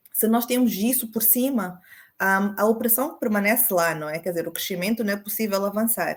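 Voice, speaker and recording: This woman speaks at a moderate pace. Her fairly high pitch varies in an ordinary way. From Mozambique. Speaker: women's rights advocate. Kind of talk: panel discussion. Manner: hesitant, many fillers.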